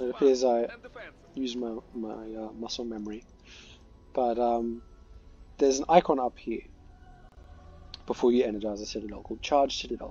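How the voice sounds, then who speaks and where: Against music in the background, a man speaks at a moderate pace with fairly even intonation, long, frequent pauses and big swings in loudness. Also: medium pitch for a man. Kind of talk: game tutorial commentary. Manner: hesitant, filler-heavy.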